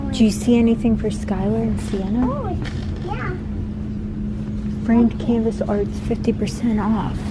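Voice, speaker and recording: Loud background noise runs beneath a woman who speaks at a very slow pace. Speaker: mother vlogger. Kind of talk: casual vlog chat.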